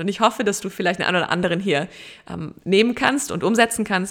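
Her pitch medium, a woman talks at a very fast pace. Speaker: podcast host. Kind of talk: inspirational solo podcast monologue.

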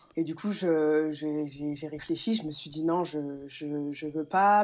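Fairly even intonation from a woman with a fairly low voice. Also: very clean recording, silent background. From France, Metz. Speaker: handball player. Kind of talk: interview. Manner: halting.

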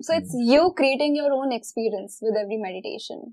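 Her high-pitched voice moves at a moderate pace, and this woman's pitch varies in an ordinary way. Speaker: life coach and energy healer. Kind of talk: interview conversation.

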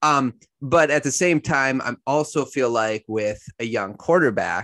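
A man with a medium pitch and a plain, everyday voice speaks in a dry, close sound with no echo over a quiet background. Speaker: sports podcast host. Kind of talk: casual sports chat interview. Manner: casual, conversational.

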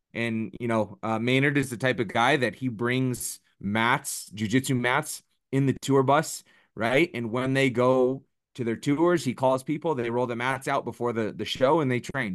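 A man speaks at a moderate pace with a plain, everyday voice, medium pitch and ordinary pitch variation, over a quiet background. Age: 30s. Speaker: MMA striking coach. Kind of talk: casual chat.

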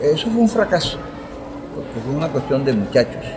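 The speaker moves at a moderate pace with lively intonation. Music plays in the background, and the room echo is audible. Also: man. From Colombian Caribbean, Fundación (Magdalena). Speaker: teacher and local historian. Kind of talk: interview, historical storytelling.

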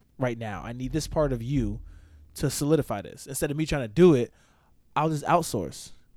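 A man with a New York accent at a fairly quick pace, medium in pitch and lively in intonation, in a very clean recording with a silent background. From Poconos, Pennsylvania. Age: 20s. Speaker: army engineer. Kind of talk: casual chat.

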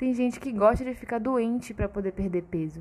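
A woman speaks in an animated tone with a fairly high pitch. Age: 20s. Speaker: nutritionist podcast host. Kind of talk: casual solo podcast talk.

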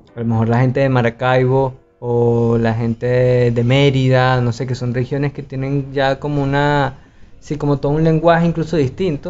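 A normal speaking voice, fairly even in intonation, at a moderate pace. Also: man, medium pitch for a man. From Venezuela, Valencia (Carabobo). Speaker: podcast co-host. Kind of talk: casual chat.

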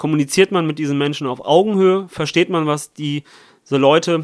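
A plain, everyday voice from a fairly high-pitched man, on a very clean recording with a silent background. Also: dry, close sound with no echo. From Italy. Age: young. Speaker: parliamentary candidate. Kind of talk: political interview.

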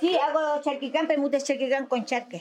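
A woman's high voice at a very fast pace with fairly even intonation, over noticeable background noise. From northern Chile (Azapa Valley). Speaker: Afro-Chilean community member. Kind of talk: testimony.

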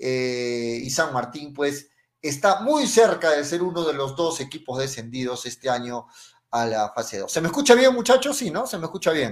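Lively intonation and a fairly high pitch in a man's moderate-paced delivery, an ordinary speaking voice. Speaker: sports radio host. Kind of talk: radio football talk show. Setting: radio studio, live broadcast.

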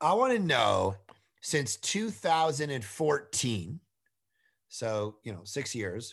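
Loud and at a fairly slow pace, a man with a fairly high pitch speaks in an animated, intense tone with very wide pitch swings, on a very clean recording with a silent background. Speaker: pastor. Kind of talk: casual interview. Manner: loud and intense.

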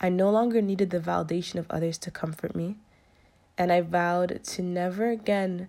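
A woman talks at a moderate pace with a fairly low pitch, a dark, mellow tone and fairly even intonation. The recording is very clean, with a silent background. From Jamaican heritage. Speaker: podcast host. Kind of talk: casual monologue.

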